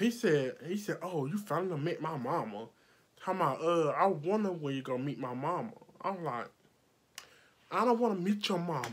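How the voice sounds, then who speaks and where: Loud and animated, a woman speaks at a moderate pace with very wide pitch swings and long, frequent pauses. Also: fairly low pitch for a woman. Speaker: makeup artist vlogger. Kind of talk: storytime vlog, heated retelling of an argument. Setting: video vlog, filming at home under lights. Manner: loud, animated, combative, sassy. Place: home room. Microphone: phone near.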